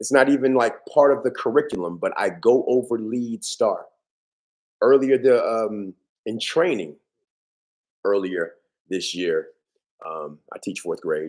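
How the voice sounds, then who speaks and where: Long, frequent pauses break up this man's speech, which moves at a fairly slow pace. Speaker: podcast host and teacher. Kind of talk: casual monologue. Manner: halting.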